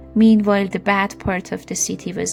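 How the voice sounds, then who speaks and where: A woman's medium-pitched, fairly slow speech over music in the background. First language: not English. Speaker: storyteller. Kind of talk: read story.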